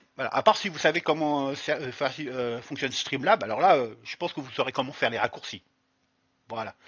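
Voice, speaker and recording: He talks at a fairly quick pace. His pitch varies in an ordinary way. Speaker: streamer and YouTuber. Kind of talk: tutorial. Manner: halting, many fillers.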